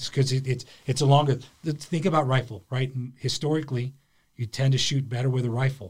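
A man speaks at a medium pitch and a fairly quick pace, his voice somewhat breathy and his intonation fairly even. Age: middle-aged. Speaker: border patrol senior official. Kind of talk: casual interview.

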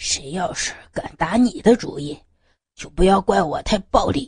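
A woman's put-on character voice with big swings in loudness, lively intonation, a medium pitch and a moderate pace. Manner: through gritted teeth, threatening.

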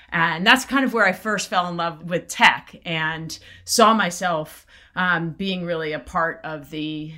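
A woman speaks in an American accent with a bright, sharp tone. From South Florida. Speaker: venture capital investor. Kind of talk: interview.

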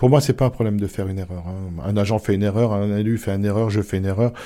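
A man's dark, mellow tone at a fairly quick pace with fairly even intonation, on a very clean recording with a silent background. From rural Alsace near the Vosges. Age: 50s. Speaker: mayor and nurse. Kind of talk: interview. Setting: town hall. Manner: hesitant with fillers.

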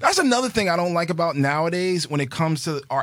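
A man rattles off his words very fast, with noticeable noise in the background. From New York City, Queens. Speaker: movie podcast co-host. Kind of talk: casual chat. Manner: animated.

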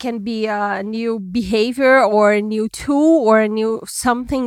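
Speaking with a Brazilian accent, a woman uses a fairly high pitch and ordinary pitch variation. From Brazil, Minas Gerais. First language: Portuguese. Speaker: trend forecasting executive. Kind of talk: interview.

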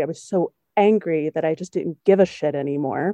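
The background is quiet. The pace is moderate. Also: woman, dry, close sound with no echo. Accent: American. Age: 30s. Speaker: podcast host, opera singer. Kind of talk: casual conversation interview.

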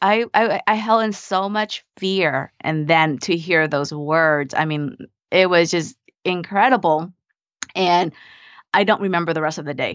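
A woman with a Vietnamese accent speaks at a fairly slow pace. Her pitch sits fairly low. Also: ordinary pitch variation. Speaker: mindset coach and nurse practitioner. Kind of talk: interview conversation.

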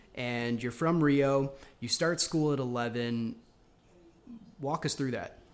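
Speaking very slowly with an American accent, a man leaves long, frequent pauses. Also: fairly high pitch for a man, ordinary pitch variation. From New York. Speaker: podcast host. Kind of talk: casual interview chat.

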